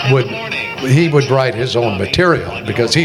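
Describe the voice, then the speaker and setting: A man is speaking amid noticeable background noise. Audible room echo is present. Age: 80s+. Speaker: retired radio newsman and writer. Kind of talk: on-stage interview, casual reminiscing. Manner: halting, repeating words.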